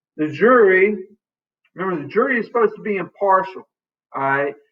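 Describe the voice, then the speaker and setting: Music in the background beneath a man's high voice. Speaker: teacher. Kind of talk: lecture. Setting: classroom.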